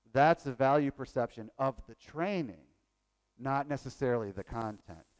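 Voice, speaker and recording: Lively intonation carries a slight Southern US accent. The sound is dry and close, with no echo. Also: man, medium pitch for a man, moderate pace. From Virginia. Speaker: workshop presenter on training evaluation. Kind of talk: conference workshop talk.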